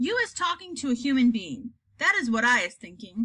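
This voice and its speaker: A woman puts on a loud character voice pitched high. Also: fairly quick pace. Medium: read story. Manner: loud, bullying, mangled grammar.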